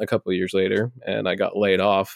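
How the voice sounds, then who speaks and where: With an American accent, a man speaks at a fairly low pitch and fairly even intonation, in a very clean recording with a silent background and a dry, close sound with no echo. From Nebraska, US Midwest. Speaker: brand strategist, former pastor. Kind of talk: casual interview.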